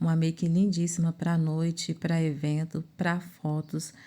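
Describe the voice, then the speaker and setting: Her tone is dark and mellow. The woman speaks at a fairly slow pace with a fairly low pitch. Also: very clean recording, silent background. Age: 40s. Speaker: makeup artist. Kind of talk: tutorial.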